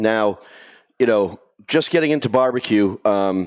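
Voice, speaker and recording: A man speaks at a medium pitch. He has a Boston accent. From Boston area. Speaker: podcast host. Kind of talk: casual chat. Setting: studio with live audience.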